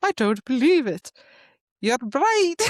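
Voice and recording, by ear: This put-on character voice sits high in pitch and makes very wide pitch swings.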